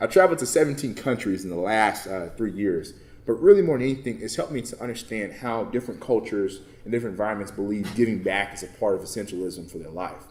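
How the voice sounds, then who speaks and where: A man with an American accent speaks very fast, with lively intonation and a fairly low pitch. Audible room echo surrounds the voice. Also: big swings in loudness. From Texas, Baytown near Houston. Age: 20s. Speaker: motivational speaker and nonprofit founder. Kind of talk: conference talk. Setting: conference session with audience. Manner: casual, conversational.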